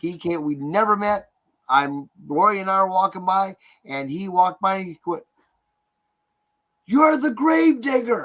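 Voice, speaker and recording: This man speaks at a fairly slow pace with a high pitch. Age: 60s. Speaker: haunted attraction owner. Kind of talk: casual chat.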